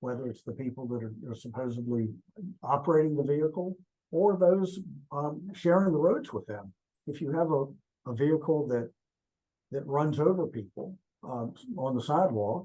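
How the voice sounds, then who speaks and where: This man's voice has a dark, mellow tone, fairly high pitch and a somewhat breathy quality, with ordinary pitch variation. He keeps a moderate pace broken by long, frequent pauses. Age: 60s. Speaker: transportation safety expert. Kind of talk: interview. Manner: halting, many fillers.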